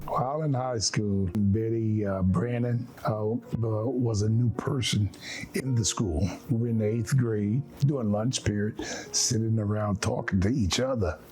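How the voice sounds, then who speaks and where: A man with an American accent at a fairly slow pace, ordinary pitch variation and very even loudness, music in the background. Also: medium pitch for a man. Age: 80s+. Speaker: war veteran. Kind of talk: testimony. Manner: halting.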